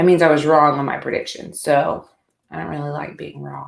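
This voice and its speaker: This woman has a Southern US accent. Her tone is animated. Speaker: sports podcast host. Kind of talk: solo sports commentary podcast.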